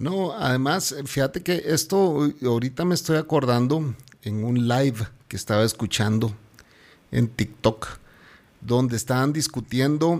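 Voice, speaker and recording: Recorded very cleanly against a silent background, a man with an ordinary speaking voice talks at a fairly slow pace and medium pitch with ordinary pitch variation. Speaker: podcast host. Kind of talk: casual chat.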